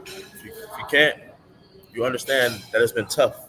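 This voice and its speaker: Moderate pace from a man in an American accent, noticeable background noise present. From US Midwest, Madison, Wisconsin. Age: 30s. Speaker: livestreamer, business networker. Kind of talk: live stream monologue. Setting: live stream. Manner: halting, repetitive.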